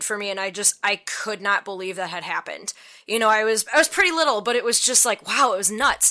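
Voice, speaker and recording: Barely pausing, a woman speaks at a fairly quick pace with ordinary pitch variation and a bright, sharp tone. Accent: American. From US Midwest. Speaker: safety specialist. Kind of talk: casual interview chat.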